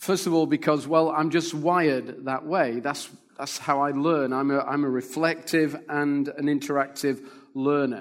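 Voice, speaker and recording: A man keeps fairly even intonation and a moderate pace, using an unremarkable speaking voice pitched fairly high. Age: 50s. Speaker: pastor and church planter. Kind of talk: sermon.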